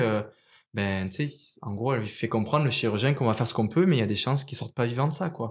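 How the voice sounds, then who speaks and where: Over a silent background in a very clean recording, a man with a medium pitch and a southern French accent talks at a very fast pace with ordinary pitch variation. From southern France (Marseille area, Provence). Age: 30s. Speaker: ultra-trail runner. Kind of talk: interview. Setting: studio.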